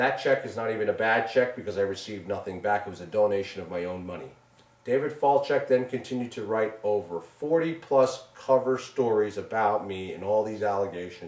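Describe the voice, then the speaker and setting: A man with a Long Island accent at a fairly quick pace, ordinary pitch variation, and noticeable background noise. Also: big swings in loudness. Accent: New York (Long Island). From Long Island, New York. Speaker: businessman and show co-producer. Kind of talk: interview testimony. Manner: loud; animated.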